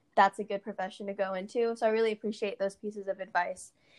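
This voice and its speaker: A woman with an American accent speaks at a medium pitch in a flat monotone, her voice dry and close with no echo against a quiet background. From US, Portland, Oregon. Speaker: podcast host, aspiring medical student. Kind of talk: interview. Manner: casual, filler words.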